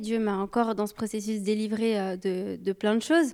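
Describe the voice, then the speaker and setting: Heard on a very clean recording with a silent background, a plain, everyday voice speaks at a moderate pace. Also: woman. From Brazilian and Sicilian heritage. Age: 30s. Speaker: youth leader. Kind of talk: casual chat.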